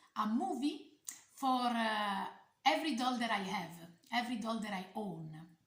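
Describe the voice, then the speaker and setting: A woman speaks with an Italian accent. Audible room echo surrounds her voice. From Italy. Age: 40s. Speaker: doll collector YouTuber. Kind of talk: casual vlog talk. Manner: halting, many fillers.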